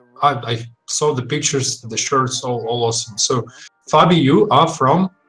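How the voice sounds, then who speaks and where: Music plays in the background as a man talks at a moderate pace with a medium pitch. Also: ordinary pitch variation. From Russia. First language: Russian. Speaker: game community manager. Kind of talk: live stream chat.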